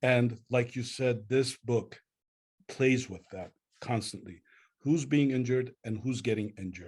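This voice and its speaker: A man with an Armenian accent talks at a moderate pace in a medium pitch, somewhat breathy, with ordinary pitch variation. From Lebanon, Beirut. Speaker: poet. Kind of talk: book club interview.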